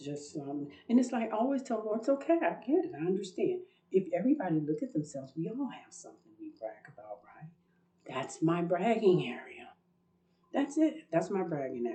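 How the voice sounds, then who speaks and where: Her pitch is fairly high for a woman and swings very widely, with big swings in loudness too. The woman talks at a fairly quick pace with vocal fry. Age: 60s. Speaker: religious video blogger. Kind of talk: personal testimony monologue. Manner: talkative, rambling.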